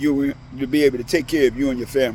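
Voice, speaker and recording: This is a man with a plain, everyday voice. He talks at a fairly quick pace with ordinary pitch variation. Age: 60s. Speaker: former drywall contractor turned online marketer. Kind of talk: sales pitch. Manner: casual, direct address.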